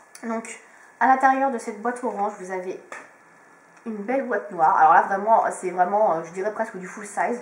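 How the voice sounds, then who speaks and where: A woman speaks at a fairly quick pace and medium pitch, with ordinary pitch variation, big swings in loudness and long, frequent pauses, against noticeable background noise. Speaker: beauty vlogger. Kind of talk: product review. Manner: hesitant, many fillers.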